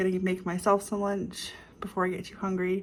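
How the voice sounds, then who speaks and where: Quiet, somewhat breathy mumbling in a flat monotone. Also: woman. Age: 30s. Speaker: vlogger. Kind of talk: casual vlog monologue. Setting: at home, filming herself. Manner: mumbling, quiet.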